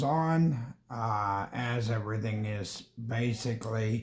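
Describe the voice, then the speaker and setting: At a very slow pace, a man speaks in a medium pitch, somewhat breathy, with ordinary pitch variation. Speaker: gaming streamer. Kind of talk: casual gameplay commentary. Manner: hesitant, many fillers.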